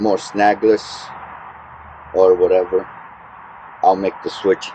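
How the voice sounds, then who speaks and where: A man mumbles at a very slow pace. Noticeable background noise runs underneath. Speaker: fishing vlogger. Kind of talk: casual vlog narration. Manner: hesitant, many fillers; mumbling.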